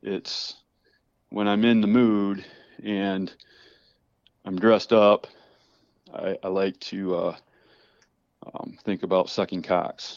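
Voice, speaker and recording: Speaking very slowly in a monotone, flat intonation, a man with a fairly low pitch leaves long, frequent pauses. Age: 50s. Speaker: caller sharing personal story. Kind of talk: testimony. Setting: phone call. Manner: halting.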